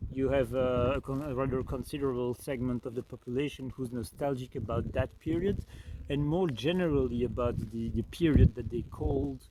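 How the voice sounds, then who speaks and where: With a Belgian French accent, a man speaks at a fairly quick pace and medium pitch, with ordinary pitch variation. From French-speaking Belgium. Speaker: spiritual life coach. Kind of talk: reflective talk to camera. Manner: hesitant, many fillers.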